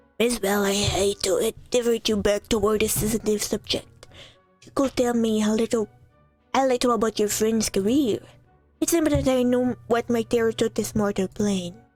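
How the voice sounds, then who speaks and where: A woman's put-on character voice, fairly high in pitch, at a moderate pace over faint background music. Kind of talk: Edwardian formal speech. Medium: solo performance.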